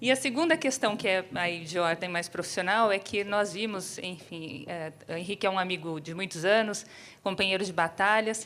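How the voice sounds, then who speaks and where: Speaking with a São Paulo accent, a woman keeps a medium pitch. She moves at a moderate pace with ordinary pitch variation. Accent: São Paulo (paulistano). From São Paulo city, Brazil. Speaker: economist and urbanism professor, panel speaker. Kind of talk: keynote talk. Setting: theater stage with audience. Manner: hesitant fillers.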